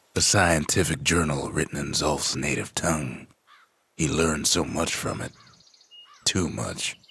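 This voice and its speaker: A man's drawling, put-on character voice, very deep and low, at a moderate pace with long, frequent pauses. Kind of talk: frontier storyteller narration. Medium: video game. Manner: slow, folksy drawl.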